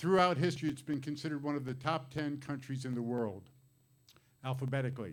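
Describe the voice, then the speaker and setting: Audible room echo follows a man who talks at a very fast pace. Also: medium pitch for a man, ordinary pitch variation. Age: 60s. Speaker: comedian. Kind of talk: stand-up.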